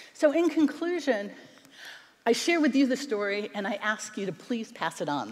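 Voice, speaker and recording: Speaking at a fairly quick pace with an American accent, the voice makes very wide pitch swings. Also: woman. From United States. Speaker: internet attorney and documentary producer. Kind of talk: keynote speech. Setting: stage with audience. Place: stage. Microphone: headset.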